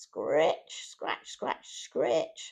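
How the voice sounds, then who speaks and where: A woman's voice comes through in a very clean recording with a silent background. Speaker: storyteller. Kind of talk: children's story reading. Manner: warm, gentle.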